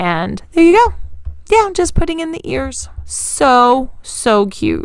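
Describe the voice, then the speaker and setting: A woman's very slow speech with big swings in loudness and audible room echo. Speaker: DIY craft YouTuber. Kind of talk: tutorial voiceover.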